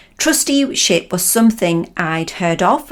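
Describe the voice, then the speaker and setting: Here a woman speaks at a medium pitch. She has a Lancashire accent. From northern England, Lancashire. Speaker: trainer and coach. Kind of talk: podcast talk.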